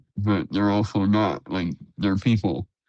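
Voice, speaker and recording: This man has a normal speaking voice, pitched fairly low. He talks at a fairly slow pace. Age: 20s. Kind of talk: panel discussion.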